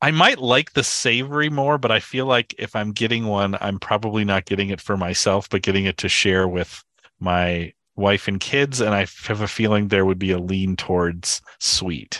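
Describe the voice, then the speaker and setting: A man's fairly low, bright, sharp voice with an American accent, ordinary pitch variation and a moderate pace, dry and close with no echo, against a quiet background. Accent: Minnesotan, downplayed. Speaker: podcast co-host. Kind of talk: casual chat. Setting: remote call.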